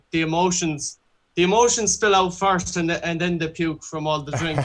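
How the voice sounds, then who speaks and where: Over a silent background in a very clean recording, a man talks with a high pitch. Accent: Irish. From Ireland, Galway. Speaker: singer-songwriter. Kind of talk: interview.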